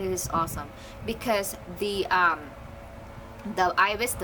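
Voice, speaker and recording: At a moderate pace, a woman with a Filipino accent speaks at a medium pitch with ordinary pitch variation, amid noticeable background noise and audible room echo. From Philippines. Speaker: photography vlogger. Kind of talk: casual product review vlog. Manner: halting.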